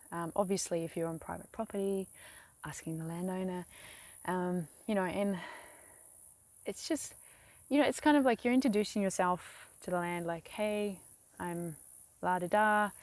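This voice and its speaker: On a very clean recording with a silent background, a woman talks at a moderate pace with ordinary pitch variation and long, frequent pauses. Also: medium pitch for a woman. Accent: New Zealand. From New Zealand. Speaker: vlogger. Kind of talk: tutorial. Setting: outdoors beside a lake. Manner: casual, hesitant with many fillers.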